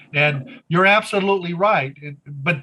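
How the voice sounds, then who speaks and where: This man's voice is high-pitched, with a bright, sharp tone, ordinary pitch variation and a fairly slow pace. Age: 70s. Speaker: war veteran and presenter. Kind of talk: Q&A discussion after a presentation. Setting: live audience with Zoom viewers.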